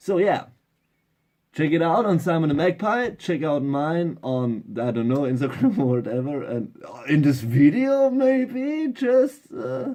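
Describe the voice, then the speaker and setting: A man with a fairly high pitch and a dark, mellow tone speaks at a fairly slow pace, his pitch swinging very widely. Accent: German. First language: German. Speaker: DIY electronics hobbyist. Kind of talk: casual tutorial. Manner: halting.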